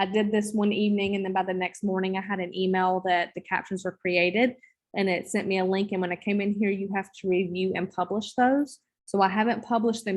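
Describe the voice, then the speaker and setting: Over a quiet background, a woman with a Southern US accent speaks in a monotone, flat intonation. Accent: Southern drawl. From US South. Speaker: teacher trainer. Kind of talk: online training session. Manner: casual. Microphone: video call.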